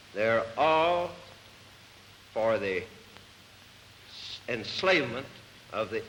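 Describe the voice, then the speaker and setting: Lively intonation comes through in an American accent against noticeable background noise. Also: man. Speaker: politician. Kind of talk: impromptu speech.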